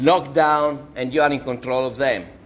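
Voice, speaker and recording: A man speaks with an Italian accent. His pace is fairly slow. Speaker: university lecturer. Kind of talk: lecture.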